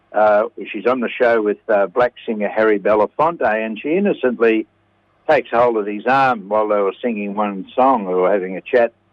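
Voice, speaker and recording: Speaking at a moderate pace with an Australian accent, a man uses a fairly low pitch and ordinary pitch variation. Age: 70s. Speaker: radio segment presenter. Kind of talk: casual chat.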